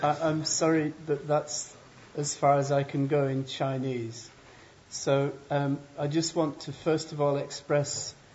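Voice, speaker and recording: A man's fairly high voice in an English accent, monotone and flat in intonation, at a very slow pace. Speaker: professor. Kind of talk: lecture. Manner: slow and clear.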